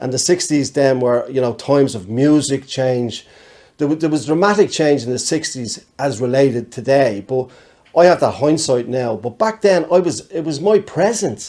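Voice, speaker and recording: A man with a Dublin accent speaks at a moderate pace in a fairly high pitch, his dark, mellow tone carried by lively intonation. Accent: Dublin Irish. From Ireland, Dublin. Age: 60s. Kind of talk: casual chat.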